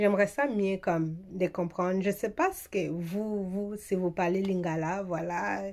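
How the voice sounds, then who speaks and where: A woman with a Swahili accent speaks at a medium pitch and a fairly slow pace. Her intonation is fairly even. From eastern DR Congo. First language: Swahili (speaking French). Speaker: beauty vlogger. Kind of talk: casual vlog talk. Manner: hesitant, many fillers.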